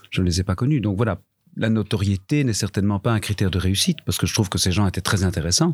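Very fast and somewhat breathy, a man with a fairly low pitch and ordinary pitch variation comes through on a very clean recording with a silent background. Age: 50s. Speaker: veteran theatre actor and teacher. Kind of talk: panel discussion. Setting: live recording before an audience.

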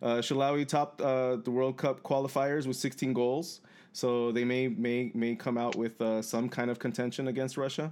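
A man speaks in a plain, everyday voice, medium in pitch, at a moderate pace with fairly even intonation. His loudness stays very even against a quiet background. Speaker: podcast co-host. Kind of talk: casual chat.

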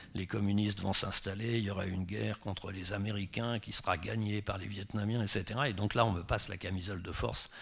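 A man's fairly low voice at a moderate pace, against noticeable background noise. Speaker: novelist. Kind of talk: public author talk.

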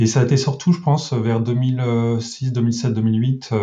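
In a normal speaking voice, a man keeps a medium pitch and fairly even intonation. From rural France. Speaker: web developer. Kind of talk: casual interview.

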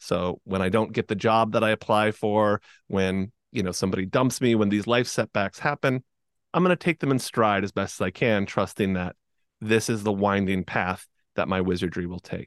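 A man's plain, everyday voice, fairly low in pitch with ordinary pitch variation, at a moderate pace, dry and close with no echo, over a quiet background. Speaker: hypnotist and podcast host. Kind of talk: casual interview conversation. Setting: video call.

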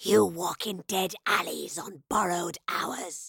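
In a put-on character voice, the speaker sounds raspy at a middle pitch and a fairly slow pace. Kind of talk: archaic, fantasy. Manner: despairing, hollow, threatening.

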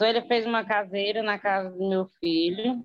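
Her pitch fairly high and her pace fairly slow, a woman speaks. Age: 40s. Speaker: former guesthouse owner and distributor. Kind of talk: testimony.

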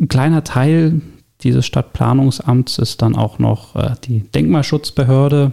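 At a fairly slow pace, the voice keeps a very even loudness and a dark, mellow tone, with ordinary pitch variation. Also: man, medium pitch for a man. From Berlin (Pankow). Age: 30s. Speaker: district councillor for urban development. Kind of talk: interview. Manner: hesitant, many fillers.

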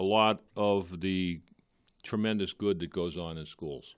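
A man with a Boston accent and a very deep, low pitch talks at a fairly slow pace with ordinary pitch variation over a quiet background. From Boston area, Massachusetts (Malden). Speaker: police chief. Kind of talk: interview on local cable TV. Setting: TV studio.

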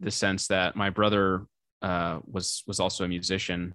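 Against a quiet background, a man speaks with an American accent at a fairly slow pace. His fairly low pitch has a bright, sharp tone and fairly even intonation. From US Midwest (St. Louis, Missouri). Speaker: musician and filmmaker. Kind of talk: casual interview chat. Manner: hesitant, many fillers.

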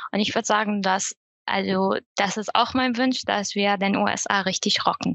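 A woman talks at a moderate pace in a normal speaking voice, with a medium pitch, fairly even intonation and very even loudness. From Syria. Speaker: e-commerce apprentice. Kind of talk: casual chat.

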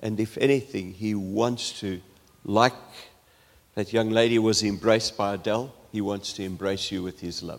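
Fairly low-pitched with fairly even intonation, a man speaks at a fairly slow pace with long, frequent pauses. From South Africa. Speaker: preacher. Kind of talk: sermon.

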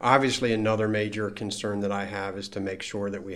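With an American accent, a man talks at a fairly quick pace and fairly low pitch in an unremarkable speaking voice. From Maryland, US (Frederick). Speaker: school board president. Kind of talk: interview.

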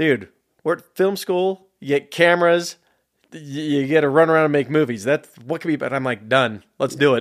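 Using a plain, everyday voice, a man of fairly high pitch talks at a moderate pace with ordinary pitch variation and big swings in loudness. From San Jose, California. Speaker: filmmaker. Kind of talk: casual interview conversation. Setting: studio.

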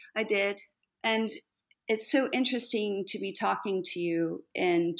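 A woman talks with an American accent. Her pitch variation is ordinary. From Texas. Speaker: speechwriter and communications consultant. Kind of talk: interview.

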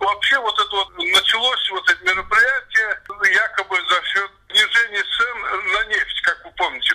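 A man talks at a fairly slow pace with very even loudness. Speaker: former central bank head, economist. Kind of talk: interview. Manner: halting.

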